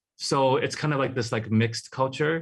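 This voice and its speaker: Against a quiet background, a man with a Hawaiian accent talks at a fairly quick pace with fairly even intonation. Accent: Hawaii English. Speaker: artist. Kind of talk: interview.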